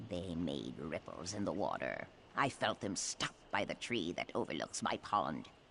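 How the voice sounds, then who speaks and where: At a fairly slow pace, a put-on character voice speaks over clear background noise. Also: man. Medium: video game. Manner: haughty, aloof.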